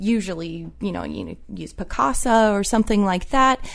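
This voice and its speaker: A woman with an ordinary speaking voice, medium in pitch, with ordinary pitch variation. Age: 20s. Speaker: archivist. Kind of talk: casual interview.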